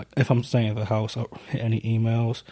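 Speaking at a fairly quick pace with an American accent, a man uses a medium pitch and a dark, mellow, somewhat breathy tone, with monotone, flat intonation. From New York. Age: 20s. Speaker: security worker, army reservist, podcast co-host. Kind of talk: casual chat.

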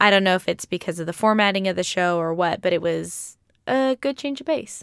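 An ordinary speaking voice comes at a moderate pace. The sound is dry and close with no echo, and the recording is very clean over a silent background. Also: woman. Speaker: podcast host. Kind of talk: casual chat.

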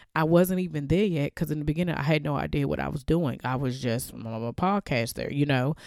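A woman with a very deep, low pitch and a dark, mellow tone is heard in a very clean recording with a silent background, dry and close with no echo. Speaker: podcast host. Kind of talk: motivational faith talk. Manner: casual, laughs often.

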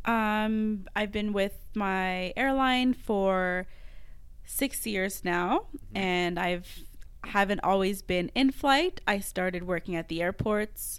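With a Quebec accent, a woman speaks at a very slow pace with ordinary pitch variation. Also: medium pitch for a woman. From Quebec, Montreal. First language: French. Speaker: podcast co-host, flight attendant. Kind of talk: casual chat; scripted outro.

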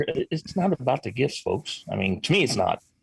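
A man speaks in a somewhat breathy voice with an American accent. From Illinois. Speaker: veteran, show co-host. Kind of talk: casual chat.

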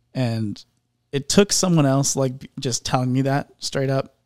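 This man has a normal speaking voice with an American accent, medium pitch and ordinary pitch variation. The sound is dry and close, with no echo. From Indianapolis, US Midwest. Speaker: songwriter and musician. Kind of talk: casual interview chat.

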